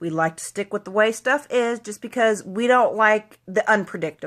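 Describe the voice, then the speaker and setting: With an American accent, a woman speaks at a moderate pace and ordinary pitch variation in an ordinary speaking voice, on a very clean recording with a silent background. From US Midwest, Southeast Kansas. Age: 20s. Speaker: vlogger. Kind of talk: motivational monologue. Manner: casual, conversational.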